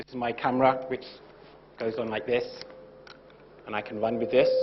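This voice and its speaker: Fairly quick, monotone and flat male speech over noticeable background noise. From UK. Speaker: lecturer, former TV presenter. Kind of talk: lecture.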